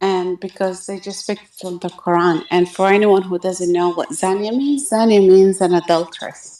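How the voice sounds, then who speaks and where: Speaking at a moderate pace with hardly any pauses, a woman has a medium pitch, a dark, mellow tone and fairly even intonation. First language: Arabic. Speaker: guest on religious debate stream. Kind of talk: casual discussion.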